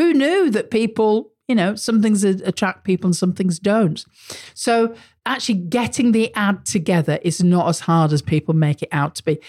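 With a British accent, a woman speaks at a moderate pace and a medium pitch, her voice somewhat breathy. Her intonation is lively, and the sound is dry and close with no echo. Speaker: marketing podcast host. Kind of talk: solo podcast monologue. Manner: casual, conversational.

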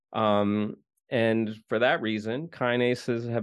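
At a fairly slow pace, a man speaks in an unremarkable speaking voice at a medium pitch. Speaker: podcast host. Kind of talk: casual interview and news roundup.

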